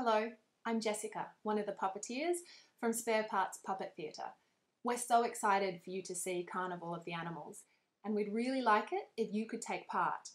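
With ordinary variation in pitch, a woman speaks at a moderate speed. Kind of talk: tutorial. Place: home room.

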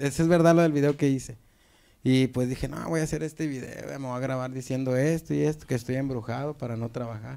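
Moving at a fairly quick pace, a man of medium pitch speaks with ordinary pitch variation. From Apodaca, Nuevo León, Mexico; Nuevo León, Mexico. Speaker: viral video comedian. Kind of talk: casual chat. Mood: relaxed, amused storytelling. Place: studio. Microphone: handheld.

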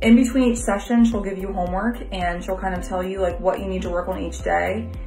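Faint music plays in the background as a woman speaks at a fairly quick pace. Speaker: client giving a review. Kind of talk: testimonial, casual talk to camera. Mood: positive, grateful. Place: home room. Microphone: phone near.

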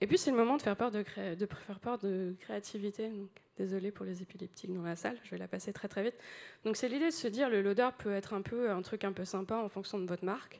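Talking at a very fast pace, a woman uses a medium pitch with ordinary pitch variation. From France. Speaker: UX designer, conference speaker. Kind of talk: conference talk. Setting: stage with audience. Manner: animated. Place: hall.

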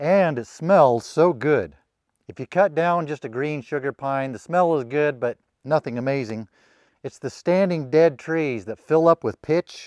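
The recording is dry with no echo and a quiet background. A man speaks at a fairly slow pace with ordinary pitch variation. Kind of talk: casual vlog chat. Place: open country.

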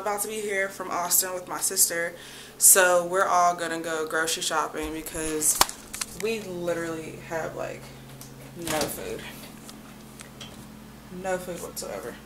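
Amid loud background noise, a woman talks fairly slowly in a flat monotone, with long, frequent pauses. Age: 20s. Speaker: vlogger. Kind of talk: casual vlog talk to camera.

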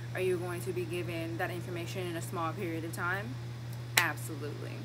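A woman talks at a very fast pace over loud background noise. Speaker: nursing student vlogger. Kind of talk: casual vlog chat. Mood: upbeat, reassuring, playful. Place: street. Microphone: phone near.

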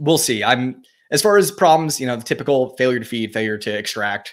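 A man speaks at a medium pitch against a quiet background. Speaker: gun YouTuber; gun channel host. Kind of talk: live stream chat answering comments. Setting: live stream. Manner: fast. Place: home room.

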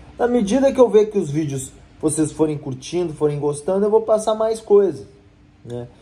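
The man talks at a moderate pace in a high pitch, his voice making very wide pitch swings. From Rio Grande do Sul, Brazil. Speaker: lawyer. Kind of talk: vlog-style tutorial to camera. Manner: casual, conversational. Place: office. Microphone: phone near.

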